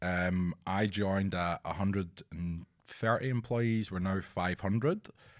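On a very clean recording with a silent background, a man speaks at a very deep, low pitch and a very slow pace, his intonation fairly even and with hardly any pauses. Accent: Scottish. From Scotland; Edinburgh. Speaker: talent executive. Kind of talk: casual interview chat.

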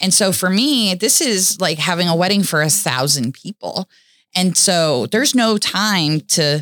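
With an American accent and an unremarkable speaking voice, a woman talks at a moderate pace with lively intonation and a fairly low pitch, in a dry, close sound with no echo. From US South, Florida (Boynton Beach). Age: 40s. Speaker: jeep festival founder and community volunteer. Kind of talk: interview testimony.

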